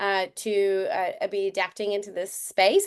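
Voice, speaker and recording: Against a quiet background, a woman speaks. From Canada. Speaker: community organizer and event host. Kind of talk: online meetup presentation. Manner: hesitant, many fillers.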